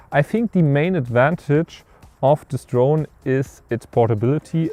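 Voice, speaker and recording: Here a man with a German accent speaks at a fairly slow pace in a medium pitch. His tone is dark and mellow, with a dry, close sound and no echo. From Germany. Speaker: filmmaker and tech reviewer. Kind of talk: product review. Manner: casual, with hesitations.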